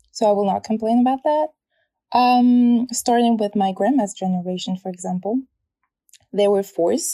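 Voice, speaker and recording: The voice has a French accent and a dark, mellow tone. The sound is dry and close, with no echo. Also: woman. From French Polynesia (Tahiti and a smaller island). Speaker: translator, podcast guest. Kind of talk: casual interview chat.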